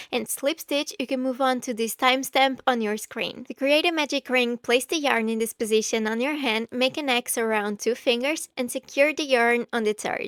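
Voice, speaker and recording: In a non-native accent, a woman speaks with a high pitch, ordinary pitch variation and a moderate pace. The recording is very clean, with a silent background and a dry, close sound with no echo. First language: not English. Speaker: crochet tutorial creator. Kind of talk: tutorial.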